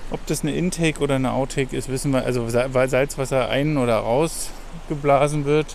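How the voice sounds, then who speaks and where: The speaker talks at a fairly quick pace with hardly any pauses. Intonation stays fairly even, and there is noticeable background noise. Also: man, fairly high pitch for a man. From Germany. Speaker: travel podcast host. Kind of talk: casual chat. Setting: outdoors.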